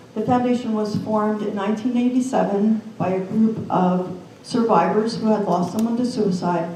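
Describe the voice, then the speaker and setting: A woman with an American accent talks at a moderate pace and a fairly high pitch, with hardly any pauses. Her intonation stays fairly even, and noticeable background noise sits behind her. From New Jersey. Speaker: suicide prevention nonprofit representative, suicide loss survivor. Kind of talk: panel presentation.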